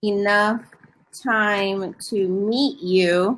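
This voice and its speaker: Her bright, sharp tone sits at a medium pitch for a woman, with fairly even intonation. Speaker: online English tutor. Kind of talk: casual tutoring chat.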